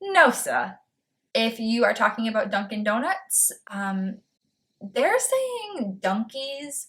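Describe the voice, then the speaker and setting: A woman with an American accent talks very slowly at a fairly high pitch, her intonation lively. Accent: slight Boston accent, comes out sometimes. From Massachusetts, north of Boston. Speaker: booktuber. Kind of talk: casual vlog talk.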